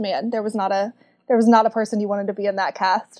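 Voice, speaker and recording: Speaking in a Southern US accent, a woman has a fairly high pitch, a dark, mellow tone and fairly even intonation. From Kentucky, US South. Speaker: book club community manager. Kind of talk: casual chat.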